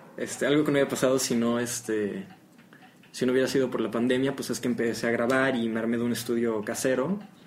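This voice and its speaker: Over noticeable background noise, someone talks very fast with fairly even intonation. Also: man, medium pitch for a man. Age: young. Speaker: guitarist. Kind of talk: casual chat. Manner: halting.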